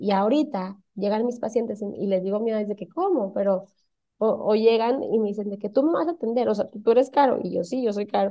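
A woman talks fairly quickly with an ordinary speaking voice. Her pitch is fairly high and varies in the usual way. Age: 30s. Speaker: cosmetologist. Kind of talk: casual interview.

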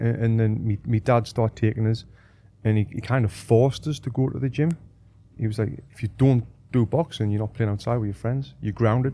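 At a fairly quick pace, a man speaks in a dark, mellow tone. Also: medium pitch for a man, ordinary pitch variation. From northeast England. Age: 30s. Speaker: boxing coach and former Olympic boxer. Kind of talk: casual interview chat. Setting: studio.

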